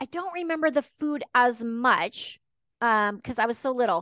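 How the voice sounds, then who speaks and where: With an American accent, the speaker has a bright, sharp tone and lively intonation at a moderate pace. The sound is dry and close with no echo, over a quiet background. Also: woman. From Texas and Washington State. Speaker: ADHD life coach. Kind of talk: podcast interview.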